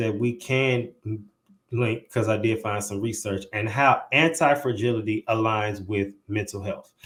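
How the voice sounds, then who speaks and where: In an unremarkable speaking voice, a man with an American accent talks at a fairly slow pace and medium pitch. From St. Louis, Missouri. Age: 20s. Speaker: podcast host. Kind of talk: podcast interview; reading aloud.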